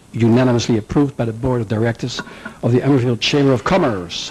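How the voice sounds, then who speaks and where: A Dutch accent from a man at a very fast pace, medium pitch, and ordinary pitch variation. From Netherlands. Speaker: business owner, chamber of commerce chairman. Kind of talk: public comment at hearing. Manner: informal, joking.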